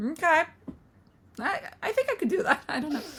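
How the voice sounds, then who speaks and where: Over noticeable background noise, a woman with a non-native accent talks at a fairly quick pace with lively intonation. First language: not English. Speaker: book podcast co-host. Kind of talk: casual chat.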